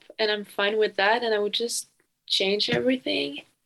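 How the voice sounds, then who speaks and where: A woman speaks with a French accent. Her pitch is fairly high and her intonation fairly even. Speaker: exchange student. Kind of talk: casual chat.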